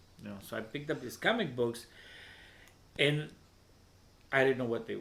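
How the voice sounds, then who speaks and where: A man with a Spanish accent, medium-pitched, very fast, his intonation fairly even. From Veracruz, Mexico. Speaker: poet and open mic host. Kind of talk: interview. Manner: halting, many repetitions.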